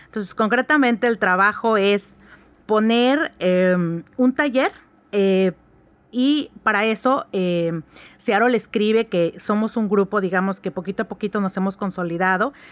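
This is an unremarkable speaking voice from a woman at medium pitch. She goes at a fairly slow pace with ordinary pitch variation. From Oaxaca, Mexico. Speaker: lawyer and writers' group board member. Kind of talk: radio interview.

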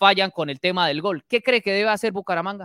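A man's bright, sharp tone comes through with a dry, close sound with no echo on a very clean recording with a silent background. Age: 30s. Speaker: sports podcast host. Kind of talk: casual sports talk.

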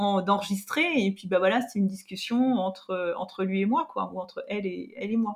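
Noticeable background noise runs under a woman's voice. She speaks at a moderate pace with medium pitch and ordinary pitch variation. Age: 50s. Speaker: digital learning specialist and podcaster. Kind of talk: interview. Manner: hesitant, many fillers.

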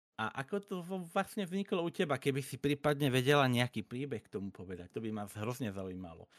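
A man speaks very fast at a medium pitch, with very wide pitch swings. The recording is very clean with a silent background and a dry, close sound with no echo. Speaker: podcast host and streamer. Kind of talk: casual chat. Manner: halting, stuttering repetitions.

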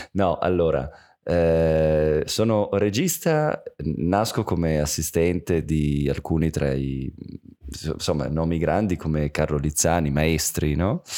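This man talks at a very slow pace with a very deep, low pitch, a dark, mellow tone and ordinary pitch variation. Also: very even loudness. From Turin, northern Italy. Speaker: film director. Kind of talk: casual chat. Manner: animated, halting.

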